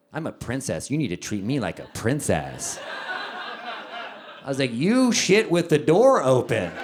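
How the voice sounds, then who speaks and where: A man with a fairly high pitch and very wide pitch swings, moderate pace, long and frequent pauses, and noticeable background noise. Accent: American. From Texas. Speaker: stand-up comedian. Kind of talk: live stand-up comedy set.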